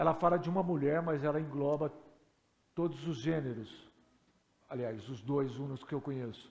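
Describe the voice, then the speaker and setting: A man at a fairly high pitch with ordinary pitch variation, moderate pace and long, frequent pauses, in audible room echo. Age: 60s. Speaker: pastor. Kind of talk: sermon. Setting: church.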